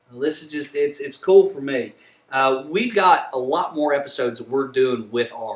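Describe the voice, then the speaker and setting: Noticeable background noise sits under a man's fairly high voice. He speaks at a moderate pace with ordinary pitch variation. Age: 30s. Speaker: podcast host. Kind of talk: interview. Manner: enthusiastic.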